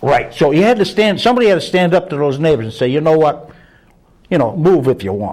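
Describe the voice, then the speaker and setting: With vocal fry and very wide pitch swings, a man speaks at a fairly high pitch and a fairly quick pace. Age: 70s. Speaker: prison reform activist. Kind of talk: casual discussion.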